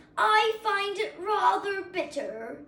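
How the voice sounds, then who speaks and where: A woman puts on a character voice with an extremely high pitch and very wide pitch swings. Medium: read story. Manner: grumbling, complaining.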